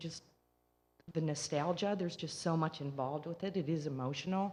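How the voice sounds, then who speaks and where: In a Michigan accent, a woman speaks at a moderate pace with a fairly low pitch, fairly even intonation and a somewhat breathy quality. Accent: non-Southern, Michigan. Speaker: resident speaking at public comment. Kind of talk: public comment at council meeting.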